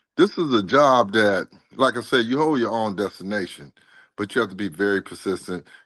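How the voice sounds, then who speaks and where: Against a quiet background, a man's fairly quick speech shows ordinary pitch variation. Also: fairly low pitch for a man. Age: 60s. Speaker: delivery driver, former railroad worker. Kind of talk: interview. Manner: animated.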